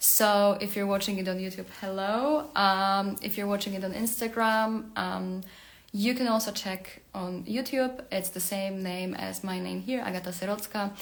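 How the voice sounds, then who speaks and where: Heard with audible room echo, a woman with a Polish accent speaks at a medium pitch with fairly even intonation. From Poland. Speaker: career coach and tech worker. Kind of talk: livestream talk. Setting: Instagram live video. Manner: hesitant, many fillers.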